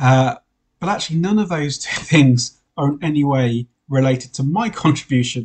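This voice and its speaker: With lively intonation, a man speaks in a somewhat breathy voice of fairly high pitch. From Wales. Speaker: priest. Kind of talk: sermon. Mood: warm, lightly humorous. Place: home room. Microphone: webcam.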